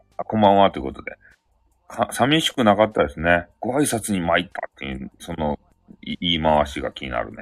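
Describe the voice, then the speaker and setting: In a Hakata accent, a man with a very deep, low pitch and vocal fry talks at a fairly quick pace, with very wide pitch swings and big swings in loudness. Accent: Hakata dialect Japanese. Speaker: live-stream host. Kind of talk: casual live-stream chat. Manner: animated, laughing often.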